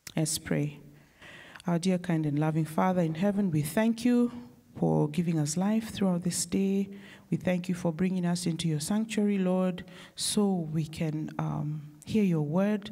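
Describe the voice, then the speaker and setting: This woman talks fairly slowly with a somewhat breathy, dark, mellow tone and fairly low pitch. Her loudness stays very even, her pitch varies normally, and the background is quiet. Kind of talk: worship service leading and prayer. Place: church. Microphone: handheld.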